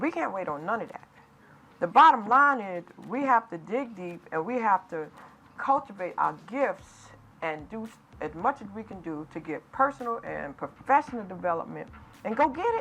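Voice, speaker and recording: A woman with an American accent speaks at a moderate pace in a fairly high, bright, sharp voice. Her pitch swings very widely and her loudness shifts a lot. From US Northeast, New York City. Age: 60s. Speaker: author and entrepreneur. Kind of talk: interview. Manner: animated.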